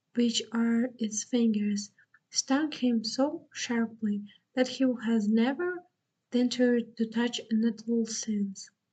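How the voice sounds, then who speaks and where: A soft-spoken woman with a Russian accent, fairly high pitch, dark, mellow tone, ordinary pitch variation and a very slow pace. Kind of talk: bedtime story reading.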